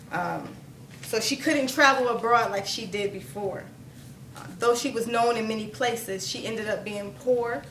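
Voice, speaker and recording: A woman with a fairly high voice speaks at a moderate pace with ordinary pitch variation, over noticeable background noise and audible room echo. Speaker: spoken word poet. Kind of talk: storytelling; poetry performance. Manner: stuttering at times.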